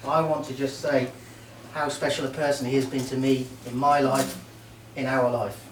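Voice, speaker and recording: A man's medium-pitched, monotone, flat voice at a moderate pace with long, frequent pauses, plus audible room echo and noticeable background noise. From Merseyside, England (Port Sunlight). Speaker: best man at wedding, army veteran. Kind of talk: wedding speech. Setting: wedding reception with audience.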